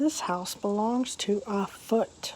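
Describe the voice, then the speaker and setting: A woman's put-on character voice, fairly high in pitch, over light background noise. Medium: read story. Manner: bossy, opinionated.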